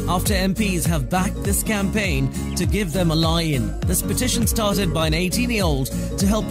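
A man's voice in a dry sound with no echo, over loud music in the background. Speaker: radio presenter. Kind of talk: radio news bulletin read. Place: studio. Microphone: studio mic.

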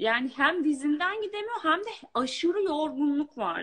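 The voice swings very widely in pitch. The background is quiet. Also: woman. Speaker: coaching client. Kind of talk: testimony. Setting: video call. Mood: reflective, relieved. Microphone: video call.

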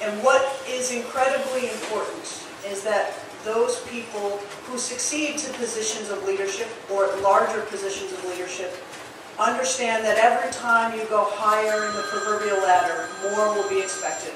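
Fairly high-pitched woman, moderate pace and ordinary pitch variation, audible room echo and noticeable background noise. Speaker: city mayor. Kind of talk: formal ceremonial speech. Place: hall.

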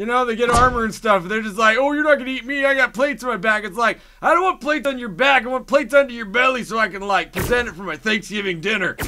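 In a cartoonish character voice, a man speaks at an extremely high pitch and a very fast pace. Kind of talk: comedy rant. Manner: rambling, stream of consciousness.

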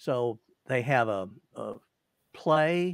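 A man's voice, dry and free of any echo. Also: quiet background. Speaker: livestream host. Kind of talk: casual conversation. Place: home room. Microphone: webcam.

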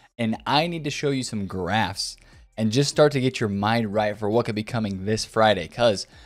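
Faint music plays behind a man of medium pitch who speaks at a moderate pace with lively intonation. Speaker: gaming YouTuber. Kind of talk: casual vlog commentary. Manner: quieter than usual. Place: home room.

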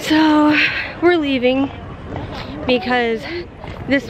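A woman speaks at a very slow pace in a dry sound with no echo, with noticeable background noise. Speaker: parent vlogger. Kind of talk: casual vlog chat. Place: street. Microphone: phone near.

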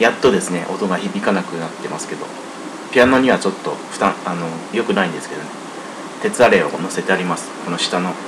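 A man speaks with big swings in loudness and ordinary pitch variation. Noticeable background noise sits behind him. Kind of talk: casual spoken introduction to a piano performance. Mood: modest, relaxed. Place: home room. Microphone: webcam.

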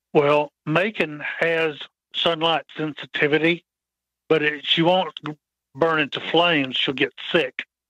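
This man speaks with an American accent at a fairly high pitch and a fairly slow pace. His intonation is monotone and flat, broken by long, frequent pauses. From US Midwest. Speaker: author. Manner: halting.

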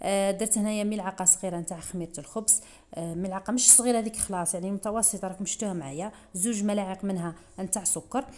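A woman at a medium pitch, talking at a fairly quick pace with fairly even intonation. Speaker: cooking youtuber. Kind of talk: cooking tutorial. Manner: fast.

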